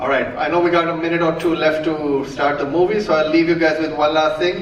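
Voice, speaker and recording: A man with a fairly high voice talks at a fairly quick pace, with audible room echo and noticeable background noise. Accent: Indian. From India, Mumbai. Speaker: comedian. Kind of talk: stand-up. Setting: stage with audience. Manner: animated.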